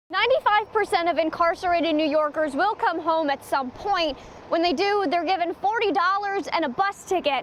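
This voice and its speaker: A woman speaks with an American accent at an extremely high pitch. Background noise is noticeable. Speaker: television news reporter. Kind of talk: TV news reporting, live and packaged stories. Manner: clear, professional broadcast delivery.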